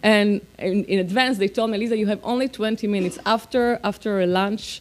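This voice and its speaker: The speaker has an Israeli accent. The pace is moderate. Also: woman. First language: Hebrew. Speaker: politician. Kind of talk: speech. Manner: halting.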